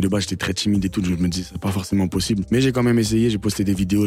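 With noticeable background noise behind him, a man talks very fast with fairly even intonation. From France. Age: 20s. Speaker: singer. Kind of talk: radio interview. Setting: radio studio. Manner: casual.

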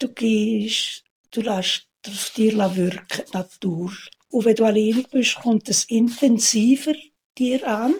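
A somewhat breathy voice with a Swiss accent, at a very slow pace, with ordinary pitch variation. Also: woman. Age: 80s+. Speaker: retired housekeeper. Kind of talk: interview.

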